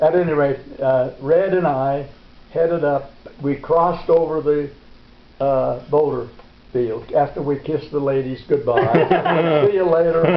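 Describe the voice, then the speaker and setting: Over noticeable background noise, a man with a fairly high-pitched voice speaks at a fairly slow pace. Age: 80s+. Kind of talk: storytelling interview, recounting a memory. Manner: vigorous, lively.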